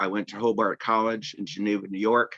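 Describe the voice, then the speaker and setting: A man with an American accent talks at a moderate pace, his pitch fairly low and his intonation fairly even. His tone is bright and sharp. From US Northeast, Boston area. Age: 70s. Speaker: support community member. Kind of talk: personal testimony. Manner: halting, with restarts.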